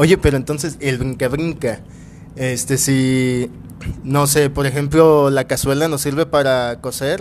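Over noticeable background noise, a man with a fairly high pitch talks fairly slowly with fairly even intonation. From Mexico, Guadalajara. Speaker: podcast co-host. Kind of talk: casual chat.

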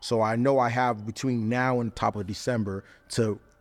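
On a very clean recording with a silent background, a man in a Southern Californian accent speaks at a medium pitch with monotone, flat intonation. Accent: Southern California American. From Riverside, California (Inland Empire), Nigerian-American family. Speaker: DJ and music producer. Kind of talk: casual interview chat.

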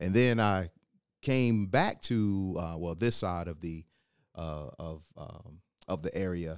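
A man's very deep, low voice with an American accent, ordinary pitch variation and a very slow pace. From Virginia, Hampton. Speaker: educator. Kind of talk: casual interview podcast. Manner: halting.

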